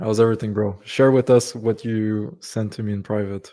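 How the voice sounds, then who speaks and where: A man's fairly low voice with a dark, mellow tone, at a moderate pace. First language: French. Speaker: business coach. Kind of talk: live stream Q&A. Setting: live stream video call.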